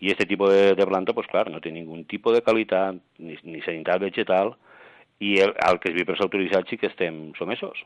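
A man speaks at a fairly quick pace in a very deep, low pitch, with fairly even intonation and big swings in loudness. The sound is dry and close with no echo over a quiet background. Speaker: plant nursery association member. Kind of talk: interview. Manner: halting.

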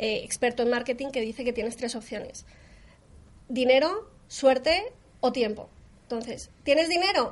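The background is quiet as a woman speaks in a high pitch. Her pitch variation is ordinary. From Colombia. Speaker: SEO consultant. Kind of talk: interview.

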